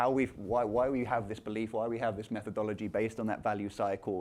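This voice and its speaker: A man speaks with a London accent. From London, England. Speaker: company founder and CEO. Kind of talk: conference talk.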